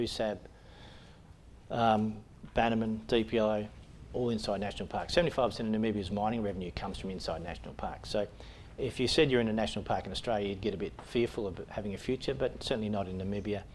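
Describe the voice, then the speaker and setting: A man's fairly low voice at a very fast pace, with audible room echo. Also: ordinary pitch variation. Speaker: mining company chief executive. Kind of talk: investment pitch presentation. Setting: conference stage with audience. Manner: hesitant, many fillers.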